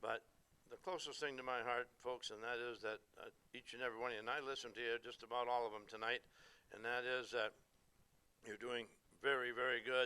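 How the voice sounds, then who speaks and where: The man's tone is bright and sharp, his intonation monotone and flat. Long pauses come often. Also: medium pitch for a man, fairly quick pace. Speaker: veteran auctioneer. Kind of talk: speech to audience.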